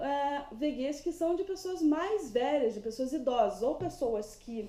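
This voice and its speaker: At a fairly slow pace, a woman with a high voice speaks with lively intonation. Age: 30s. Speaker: vlogger. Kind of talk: casual vlog monologue.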